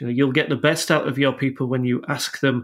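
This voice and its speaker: In a Yorkshire accent, a man of medium pitch speaks on a very clean recording with a silent background. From Yorkshire, northern England. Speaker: technology executive. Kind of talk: podcast interview.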